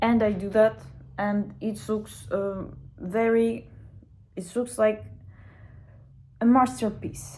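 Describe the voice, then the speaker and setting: A woman of medium pitch speaks in a Russian accent at a very slow pace with long, frequent pauses, her dark, mellow tone somewhat breathy and her pitch variation ordinary. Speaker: language student. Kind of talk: casual video diary. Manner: halting.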